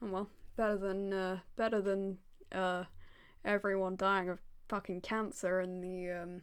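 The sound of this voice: Reading aloud in an unforced voice.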